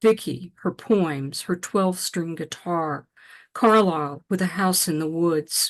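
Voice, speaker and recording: A woman with an unremarkable speaking voice talks at a fairly slow pace with ordinary pitch variation. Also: quiet background. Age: 60s. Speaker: poet. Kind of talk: poetry reading.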